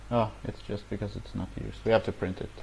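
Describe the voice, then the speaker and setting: A man keeps to a moderate pace with light noise in the background. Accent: non-native. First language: not English. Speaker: programming tutorial youtuber; programming instructor. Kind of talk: tutorial. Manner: hesitant, many filler words. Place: home room. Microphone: earbuds.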